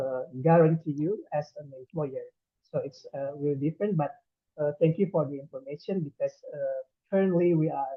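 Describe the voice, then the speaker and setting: A man with an Indonesian accent, a fairly high pitch and a moderate pace. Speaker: immigration official. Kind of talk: presentation. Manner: halting.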